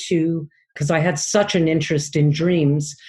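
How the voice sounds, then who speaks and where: A woman with a somewhat breathy, fairly low voice talks at a fairly slow pace, her pitch varying in an ordinary way. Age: 60s. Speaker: dream analyst. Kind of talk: interview. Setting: podcast.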